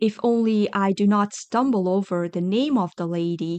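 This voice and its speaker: In a put-on character voice that sounds female, the speaker talks at a middle pitch and a moderate pace. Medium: read story. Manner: meek.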